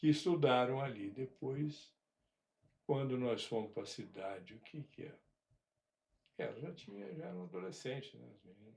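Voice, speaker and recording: At a moderate pace, a man with a medium-pitched, somewhat breathy voice uses lively intonation and big swings in loudness, leaving long, frequent pauses. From rural Brazil. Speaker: father telling family stories. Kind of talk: casual interview. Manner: halting.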